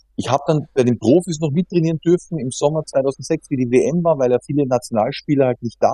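A man's fairly high voice with a dark, mellow tone, a fairly quick pace, and a dry, close sound with no echo. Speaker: professional footballer. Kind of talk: casual interview.

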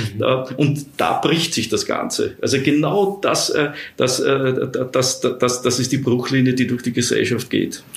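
A man talks fairly slowly while noticeable background noise runs behind him. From Austria (Vienna). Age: 50s. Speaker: social scientist. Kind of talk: interview. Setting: office. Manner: halting, many repetitions.

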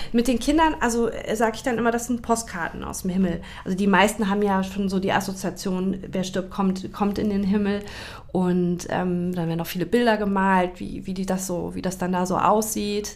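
A woman talks at a moderate pace with medium pitch and fairly even intonation. Audible room echo surrounds her voice. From Hesse, Germany (Taunus near Frankfurt). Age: 40s. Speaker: grief counselor and children's book author. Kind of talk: casual interview chat.

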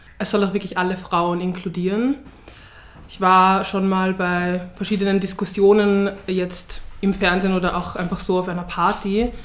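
Over audible room echo, a woman speaks at a moderate pace and medium pitch in a monotone, flat intonation. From Vienna, Austria. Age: 20s. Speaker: student activist. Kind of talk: interview.

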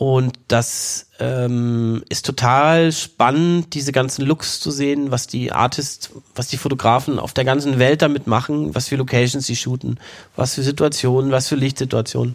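In a normal speaking voice of medium pitch, a man talks at a moderate pace with fairly even intonation. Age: 40s. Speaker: film producer and former cinematographer. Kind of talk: interview conversation. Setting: in the guest's company office.

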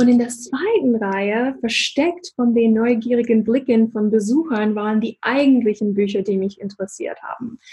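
A woman with an American accent speaks at a moderate pace in a dark, mellow tone, with ordinary pitch variation and hardly any pauses. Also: fairly high pitch for a woman. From USA. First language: English (speaking German). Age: 40s. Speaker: business coach. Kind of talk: interview.

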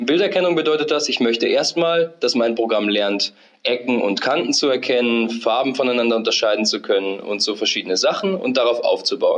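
A man at a moderate pace. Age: 20s. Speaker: software developer, recent graduate. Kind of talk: interview, technical explanation.

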